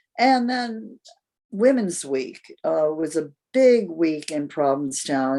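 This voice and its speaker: Lively intonation carries a dark, mellow tone. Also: woman. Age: 80s+. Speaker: playwright and actor. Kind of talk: radio interview.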